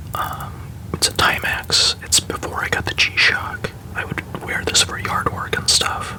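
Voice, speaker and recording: Someone whispers in a gentle tone at a fairly slow pace, with noticeable background noise behind. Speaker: watch collector. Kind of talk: ASMR whispered show-and-tell. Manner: whispered, gentle.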